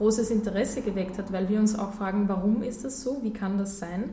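Audible room echo surrounds the voice. The speaker is a woman. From Austria (Gmunden, Upper Austria). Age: 20s. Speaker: nonprofit vice president. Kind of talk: radio interview.

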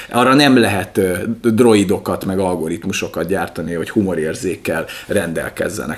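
A man talks at a moderate pace with lively intonation. Noticeable background noise runs behind him. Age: 30s. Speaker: podcast co-host. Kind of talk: casual chat. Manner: animated.

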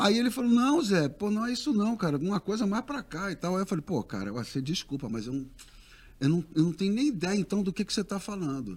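A man with a high pitch speaks at a very fast pace, his pitch swinging very widely. The recording is very clean, with a silent background. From Rio de Janeiro, raised partly in Brasília. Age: 60s. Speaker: singer. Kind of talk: casual interview chat.

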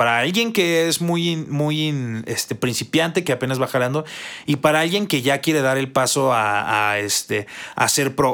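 A man with a Mexican accent, fairly high pitch and lively intonation, at a moderate pace on a very clean recording with a silent background. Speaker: gaming podcast co-host. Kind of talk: casual chat.

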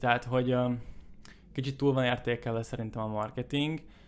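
Speaking at a moderate pace, a man has a plain, everyday voice at medium pitch. His intonation stays fairly even. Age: 20s. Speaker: entrepreneur. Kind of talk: casual chat.

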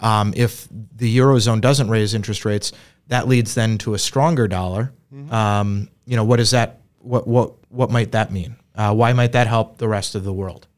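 Recorded very cleanly against a silent background, a man with an ordinary speaking voice talks at medium pitch and moderate pace with fairly even intonation. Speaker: podcast host and financial advisor. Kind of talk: casual business discussion. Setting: studio, seated together.

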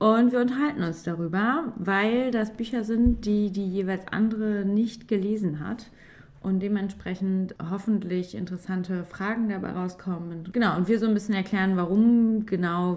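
A woman's ordinary speaking voice at medium pitch and moderate pace, with ordinary pitch variation and hardly any pauses. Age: 30s. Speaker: teacher and podcast host. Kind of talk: casual chat.

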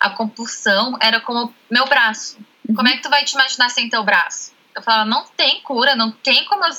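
A woman with a high pitch talks at a moderate pace with ordinary pitch variation. There is noticeable background noise. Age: 20s. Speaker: nutrition student. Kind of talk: interview.

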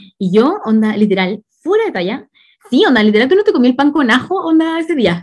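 A woman with a Chilean accent, high pitch, very wide pitch swings, and a fairly quick pace. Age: 20s. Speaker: podcast host. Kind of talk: casual chat.

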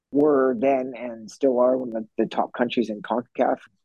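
Speaking at a moderate pace, a man with a medium pitch and a dark, mellow tone is heard in a dry, close sound with no echo. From British Columbia, Canada. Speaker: soccer coach, former pro player. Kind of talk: interview.

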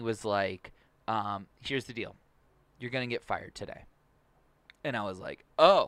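Recorded very cleanly against total silence, this man has a bright, sharp tone. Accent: American. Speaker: podcast producer and co-host. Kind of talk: casual chat. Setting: studio.

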